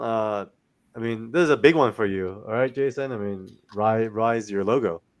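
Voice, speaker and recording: At a moderate pace, a man talks with a non-native accent and ordinary pitch variation. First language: not English. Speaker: comics podcast host. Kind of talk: casual chat.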